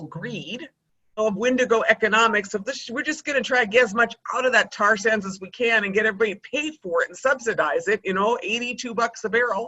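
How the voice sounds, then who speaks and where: Speaking with hardly any pauses, a woman delivers an animated tone at a fairly high pitch, her lively intonation paired with big swings in loudness. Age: 60s. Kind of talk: interview. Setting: video call.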